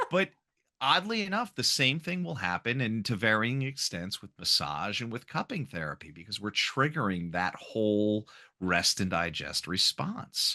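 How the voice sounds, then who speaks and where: At a moderate pace, a man with a medium-pitched voice and a bright, sharp tone makes very wide pitch swings, recorded dry and close with no echo against a quiet background. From Long Island, New York. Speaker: acupuncturist. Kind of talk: podcast interview.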